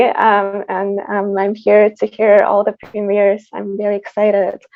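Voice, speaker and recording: In a Tatarstan accent, a woman speaks at a fairly slow pace. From Tatarstan, Russia. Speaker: composer. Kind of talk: panel discussion.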